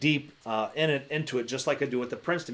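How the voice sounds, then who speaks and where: A man talks at a very fast pace. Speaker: basketball coach teaching coaches. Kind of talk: online masterclass lecture. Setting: livestream on facebook and youtube. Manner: halting, many fillers and restarts.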